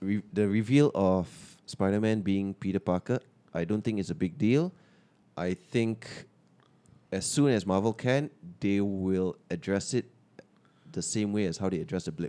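Dry and close with no echo, a man's fairly low voice has a dark, mellow tone, ordinary pitch variation, a moderate pace, and long, frequent pauses. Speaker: podcast host. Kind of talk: casual chat. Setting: studio.

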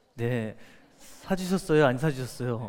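Speaking at a fairly slow pace, a medium-pitched man uses lively intonation while audible room echo surrounds his voice. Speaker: company founder and CEO. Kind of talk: motivational talk. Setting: stage with audience.

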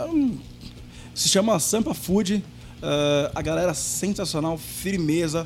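Against noticeable background noise, a man talks at a fairly slow pace in a high pitch. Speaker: rock band singer and chef. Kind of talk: casual chat. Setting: video call.

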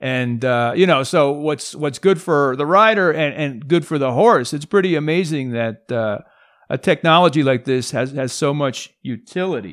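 With a normal speaking voice, a man speaks at a moderate pace, his pitch fairly high with ordinary variation. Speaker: podcast host. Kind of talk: interview conversation. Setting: video call with guest.

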